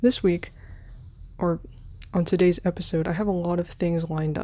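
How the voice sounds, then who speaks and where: Speaking quietly at a moderate pace, a woman with an American accent uses fairly even intonation and a fairly low pitch. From United States. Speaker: podcast host. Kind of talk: solo podcast monologue. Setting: filming on bed at night. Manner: quiet, keeping voice down.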